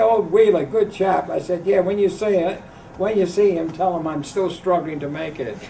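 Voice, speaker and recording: A man's high-pitched voice at a fairly quick pace, with noticeable background noise and audible room echo. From England, Grimsby. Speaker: jazz vibraphonist. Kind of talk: interview, anecdotes. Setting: hotel.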